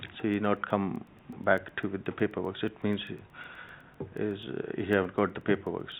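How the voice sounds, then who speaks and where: With a non-native accent, a man speaks at a fairly low pitch in a monotone, flat intonation. He leaves long, frequent pauses. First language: not English. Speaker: shop licence holder. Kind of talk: testimony at hearing. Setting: council committee room. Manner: halting.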